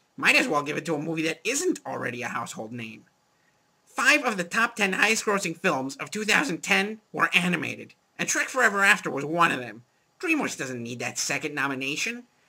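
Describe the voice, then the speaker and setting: In a cartoonish character voice, the speaker moves at a fairly quick pace through very wide pitch swings. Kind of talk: movie review show. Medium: puppet.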